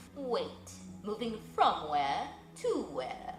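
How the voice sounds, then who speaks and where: A woman performs a put-on character voice with clear background noise behind her. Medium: read story. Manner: formal, aloof.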